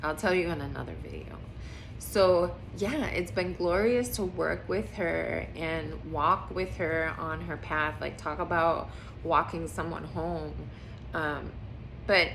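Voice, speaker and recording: A woman speaks at a very slow pace. Room echo is audible around her. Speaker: spiritual healer vlogger. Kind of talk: casual vlog monologue.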